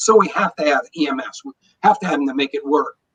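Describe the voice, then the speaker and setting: A man speaks in an unremarkable speaking voice at a fairly high pitch. The sound is dry and close, with no echo. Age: 60s. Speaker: energy wellness expert, former engineer. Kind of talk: interview.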